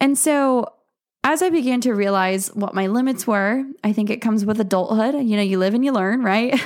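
It's an unremarkable speaking voice, a woman's, fairly high in pitch with ordinary pitch variation. She speaks at a fairly quick pace, her loudness very even throughout. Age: 20s. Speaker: podcast host and elopement photographer. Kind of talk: personal testimony. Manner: casual, with frequent fillers.

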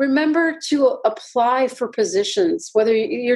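A woman speaks with a high pitch. Her pitch swings very widely. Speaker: cardiologist. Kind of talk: interview conversation. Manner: soft-spoken.

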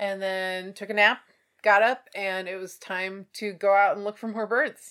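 A woman with a bright, sharp tone speaks at a medium pitch and a fairly slow pace, in a flat monotone. Her loudness swings widely on a very clean recording with a silent background. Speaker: birding podcast co-host. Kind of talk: casual chat. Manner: laughs often.

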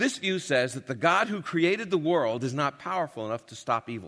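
On a very clean recording with a silent background, a man talks at a fairly quick pace. His fairly high pitch swings very widely, with vocal fry. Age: old. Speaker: radio Bible teacher and speaker. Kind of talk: lecture.

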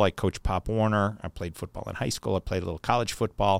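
Fairly low male voice with ordinary pitch variation, dry and close with no echo, on a very clean recording with a silent background. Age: 50s. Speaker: company CEO. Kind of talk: monologue podcast.

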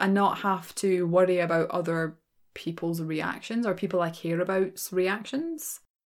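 Medium pitch from a woman, delivered at a moderate pace, with a very clean recording and total background silence. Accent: Glaswegian. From Scotland, Glasgow. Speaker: podcast host and storyteller. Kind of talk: casual Q&A monologue. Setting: small room at home, some echo. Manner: quiet, soft-spoken; frequent laughter.

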